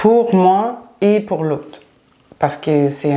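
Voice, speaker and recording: A woman with a Quebec accent speaks at a very slow pace with lively intonation. The recording has audible room echo and noticeable background noise. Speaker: spiritual teacher. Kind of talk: casual chat.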